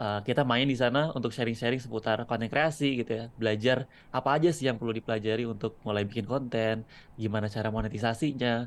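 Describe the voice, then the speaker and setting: Speaking at a very fast pace, a man with a medium pitch keeps a fairly even intonation. The recording is very clean with a silent background. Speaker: content creator and videographer. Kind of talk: casual interview chat.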